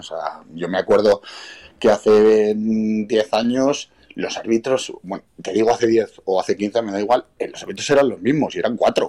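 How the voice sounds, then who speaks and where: A man speaks at a medium pitch with a dark, mellow tone. The sound is dry and close, with no echo, and his intonation stays fairly even. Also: moderate pace. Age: 30s. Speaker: amateur American football player and club vice president. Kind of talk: interview.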